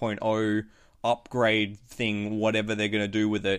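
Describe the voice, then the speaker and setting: With an Australian accent, a man speaks on a very clean recording against a silent background. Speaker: motorsport podcast host. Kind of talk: casual chat.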